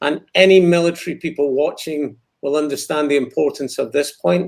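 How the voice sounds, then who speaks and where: With a Scottish accent, a man talks at a fairly high pitch. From Scotland. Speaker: war veteran. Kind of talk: interview.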